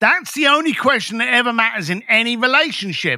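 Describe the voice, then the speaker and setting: A man's raised, projected voice at an extremely high pitch, bright and sharp in tone, at a moderate pace. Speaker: speaker and consultant guest. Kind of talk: casual interview. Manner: animated, blunt.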